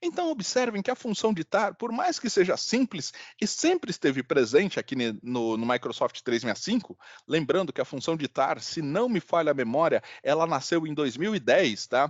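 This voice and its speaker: A man talks at a moderate pace in a high pitch. His voice makes very wide pitch swings. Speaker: software trainer. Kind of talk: online workshop demonstration. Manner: hesitant, repeats words.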